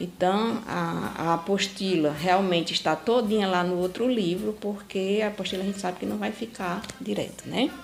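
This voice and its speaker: A woman speaks at a medium pitch and a moderate pace, with ordinary pitch variation and hardly any pauses. Noticeable background noise runs underneath. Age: 60s. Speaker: retired teacher and local historian. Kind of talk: personal testimony about town history and her book. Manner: halting, with frequent fillers and repetitions.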